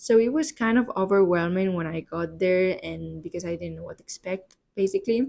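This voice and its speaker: A woman with a Spanish accent talks at a fairly quick pace, hardly pausing. Her loudness swings widely. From Spain, Barcelona. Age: 20s. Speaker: podcast host. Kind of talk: solo podcast monologue. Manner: hesitant, many fillers.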